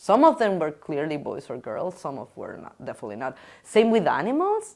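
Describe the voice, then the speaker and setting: With a Spanish accent, a woman speaks with big swings in loudness on a very clean recording with a silent background. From Chile. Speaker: interviewee. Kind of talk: casual interview. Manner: halting.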